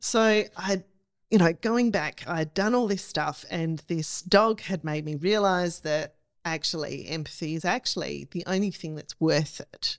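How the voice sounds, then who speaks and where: A woman speaks with an Australian accent at a fairly slow pace. Her voice is fairly low in pitch, with ordinary pitch variation. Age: 40s. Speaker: camera operator and cinematographer. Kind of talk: casual chat.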